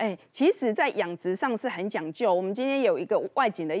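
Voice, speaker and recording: This woman's fairly high voice swings very widely in pitch at a fairly quick pace. The background is quiet. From Taiwan. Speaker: TV show host. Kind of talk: TV cooking and health show hosting. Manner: animated. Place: studio. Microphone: lapel.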